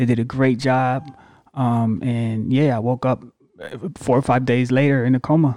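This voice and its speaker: A man's dark, mellow voice with an American accent, monotone and flat in intonation, very even in loudness, on a very clean recording with a silent background. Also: medium pitch for a man, moderate pace. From US Northeast, Syracuse, New York. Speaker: podcast co-host. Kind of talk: casual chat.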